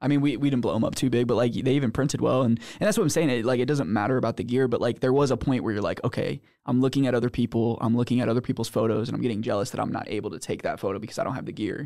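A man's very fast, nearly pause-free delivery at medium pitch, with a dark, mellow tone, fairly even intonation and a quiet background. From St. Louis, Missouri. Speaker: podcast host. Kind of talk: casual chat. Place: studio. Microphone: studio mic.

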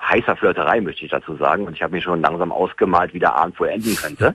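A man with a very deep, low pitch speaks in a dry sound with no echo. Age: 30s. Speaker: caller, former Scientology member; caller. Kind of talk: phone-in conversation. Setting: phone call. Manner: halting, many fillers. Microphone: phone line.

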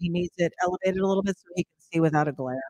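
A woman speaks with a fairly low pitch and ordinary pitch variation. The sound is dry with no echo, and the background is quiet. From New Jersey. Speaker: live stream co-host. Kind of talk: casual chat. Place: home room. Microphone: echo on the stream; studio mic.

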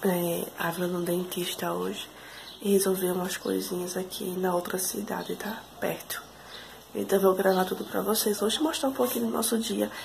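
Noticeable background noise behind a woman, her pace moderate and her pitch variation ordinary. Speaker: vlogger. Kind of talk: casual vlog talk. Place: kitchen. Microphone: phone near.

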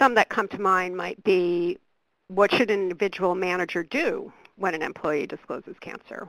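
A woman speaks in a normal speaking voice at a medium pitch and a moderate pace, with ordinary pitch variation. Her loudness swings widely, on a very clean recording with a silent background. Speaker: research program director. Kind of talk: webcast presentation.

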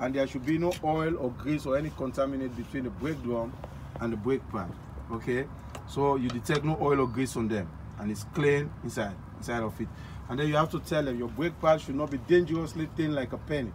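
This man speaks rather quickly, with noticeable noise behind him. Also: ordinary pitch variation. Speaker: truck driving inspection demonstrator. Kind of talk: tutorial. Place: street. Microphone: phone near.

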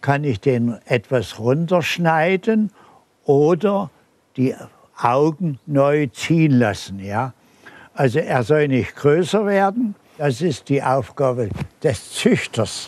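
A man's voice at a very slow pace, with very wide pitch swings and long, frequent pauses, dry with no echo. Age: 80s+. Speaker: bonsai grower. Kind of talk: interview answer. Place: garden. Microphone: lapel.

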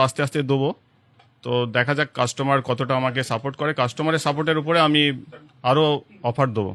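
A bright, sharp tone with fairly even intonation, recorded dry and close with no echo. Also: man. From Hooghly district, West Bengal. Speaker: shop owner. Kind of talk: interview.

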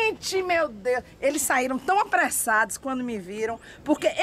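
Over light background noise, a woman in a raised, projected voice with a bright, sharp tone talks at a fairly quick pace with very wide pitch swings. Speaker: local citizen reporter. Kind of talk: commentary. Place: street.

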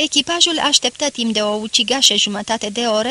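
A natural reading voice, its pitch varying in an ordinary way.

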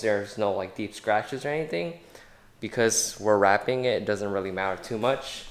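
Fairly low in pitch with ordinary pitch variation, this man talks in a normal speaking voice. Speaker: car enthusiast vlogger. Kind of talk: casual vlog chat. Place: garage. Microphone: phone near.

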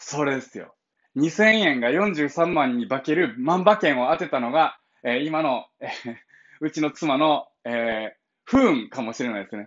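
Against a quiet background, a man with a Kansai accent speaks at a fairly slow pace with lively intonation. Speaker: blind founder of an advocacy group, livestreamer; livestreamer. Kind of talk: casual morning livestream monologue. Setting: live stream. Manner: casual, chatty with laughter. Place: home room. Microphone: phone near.

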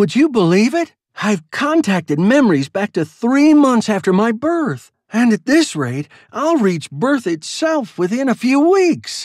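A man puts on a character voice at an extremely high pitch, with big pitch swings and a slightly mellow tone, moving at a fairly slow pace. The recording is very clean, with a silent background.

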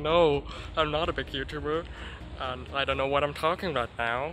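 Amid clear background noise, a man puts on a character voice at a fairly high pitch and a moderate pace.

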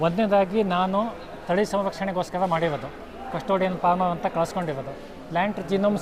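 There is noticeable background noise. The intonation stays fairly even. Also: man. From Uttara Kannada, Karnataka, India. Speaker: farmer. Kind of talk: interview.

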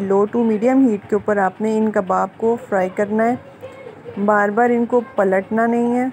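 A woman speaks at a fairly slow pace with fairly even intonation over light background noise. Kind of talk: cooking tutorial. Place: kitchen.

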